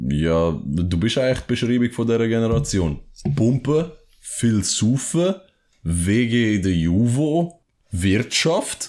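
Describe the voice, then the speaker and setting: Speaking very slowly, a man at a medium pitch makes very wide pitch swings. The recording is very clean, with a silent background. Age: 20s. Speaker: podcast co-host. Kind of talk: casual chat. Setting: at co-host's home.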